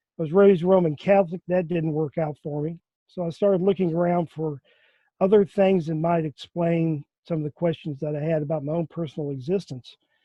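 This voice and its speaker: Here a man talks with a Southern US accent. His pitch is high and his intonation fairly even. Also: fairly quick pace. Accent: Southern American. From US South, Memphis, Tennessee. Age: 60s. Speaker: physical mediumship enthusiast. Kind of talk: personal story in interview.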